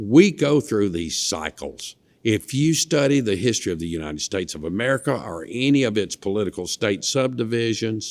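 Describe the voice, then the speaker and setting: In a Mississippi accent, a man with a medium pitch talks at a fairly quick pace with very wide pitch swings and hardly any pauses, in a dry, close sound with no echo. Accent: Mississippi Southern. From US South, northeast Mississippi (Lee County). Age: 60s. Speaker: former state legislator. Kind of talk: interview. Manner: animated.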